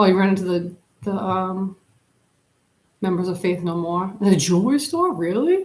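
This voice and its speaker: Somewhat breathy, a woman speaks at a moderate pace and medium pitch with ordinary pitch variation, leaving long, frequent pauses. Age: 40s. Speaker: YouTuber live streamer. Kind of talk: casual chat. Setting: live stream on camera. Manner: rambling, filler-heavy.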